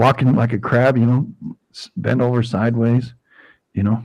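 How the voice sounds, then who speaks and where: A man with vocal fry and an American accent, at a moderate pace. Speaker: live stream host. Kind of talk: casual chat. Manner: halting, many fillers.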